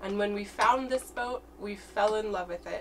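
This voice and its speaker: At a moderate pace, a woman talks over light background noise. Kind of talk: casual vlog tour. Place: boat. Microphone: camera far.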